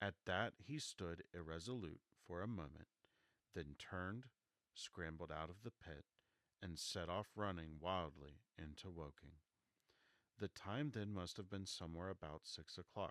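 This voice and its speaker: Soft-spoken and very deep, a man talks at a fairly slow pace with ordinary pitch variation, in a dry, close sound with no echo. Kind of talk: audiobook reading of classic novel.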